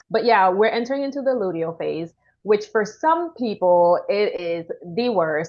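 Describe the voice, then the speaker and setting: A woman speaks in a Caribbean accent. Her intonation is lively. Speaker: women's wellness coach. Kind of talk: casual interview chat.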